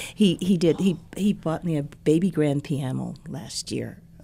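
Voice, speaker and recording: With a Midwestern accent, a woman speaks in a warm, dark and mellow tone at a very deep, low pitch, her pitch varying in an ordinary way. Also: very clean recording, silent background. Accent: general American, Midwestern. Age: 60s. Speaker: university president's wife, educator. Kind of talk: casual interview conversation. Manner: warm, laughs often.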